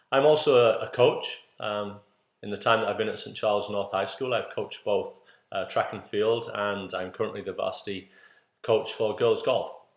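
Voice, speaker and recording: Here a man speaks with a northeast English accent. He keeps a moderate pace. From northeast England, Middlesbrough. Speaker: PE teacher and coach. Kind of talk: introductory talk to parents. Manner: halting with fillers.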